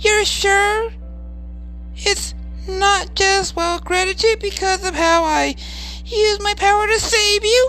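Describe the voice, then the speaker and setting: An extremely high-pitched, put-on character voice moves at a fairly slow pace with long, frequent pauses over clear background noise. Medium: read story. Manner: soft, hesitant.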